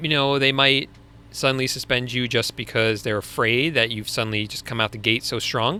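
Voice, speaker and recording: A man with a Long Island accent speaks at a moderate pace and medium pitch, his tone bright and sharp. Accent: Long Island accent, sometimes. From US Northeast, Long Island. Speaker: online business coach, live stream host. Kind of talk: live Q&A stream. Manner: casual, conversational.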